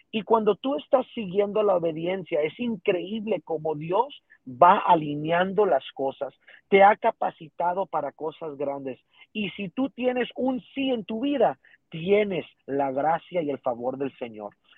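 Speaking at a fairly slow pace, a man with a high-pitched voice makes very wide swings in pitch. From Texas border region (Rio Grande Valley). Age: 20s. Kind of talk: interview testimony.

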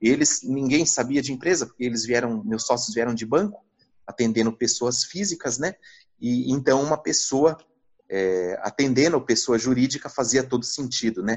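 The pace is moderate. A man speaks at a medium pitch. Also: ordinary pitch variation. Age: 40s. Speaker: finance executive turned investment advisor. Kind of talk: interview. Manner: hesitant, many fillers.

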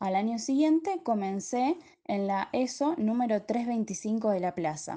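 A woman with high pitch, a dark, mellow tone and lively intonation against a quiet background. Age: 20s. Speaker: teacher-training student. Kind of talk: prepared reflective narration.

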